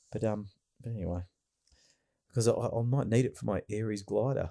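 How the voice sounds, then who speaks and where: Recorded very cleanly against a silent background, with a dry, close sound and no echo, a man speaks at medium pitch with a dark, mellow tone and an Australian accent. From Australia, Melbourne. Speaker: podcast host. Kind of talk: casual chat.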